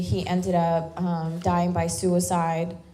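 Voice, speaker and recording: With an American accent, a woman speaks at a fairly low pitch and a fairly slow pace. Audible room echo and noticeable background noise are present. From US South, Louisiana bayou. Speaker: military veteran and activist. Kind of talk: speech at a town hall.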